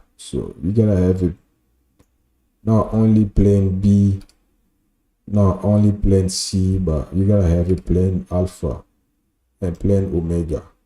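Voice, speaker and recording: On a very clean recording with a silent background, a man with a French accent speaks with a very deep, low pitch, a dark, mellow tone and fairly even intonation. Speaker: software developer and designer streaming live. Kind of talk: live coding tutorial. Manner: casual, with many filler sounds.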